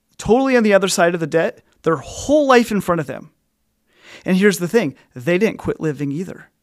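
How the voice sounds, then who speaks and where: A man with an American accent speaks at a fairly quick pace in a high pitch, with very wide pitch swings. The recording is very clean, with a silent background. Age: 30s. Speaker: financial coach. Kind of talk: podcast monologue.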